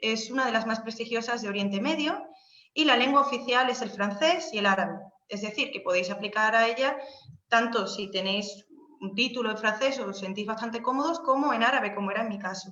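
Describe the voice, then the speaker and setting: A woman speaks at a fairly quick pace with a fairly high pitch. The room echo is audible. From Spain, Seville. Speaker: Spanish language lecturer abroad. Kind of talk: informational webinar talk. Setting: video call webinar. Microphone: unstable internet connection.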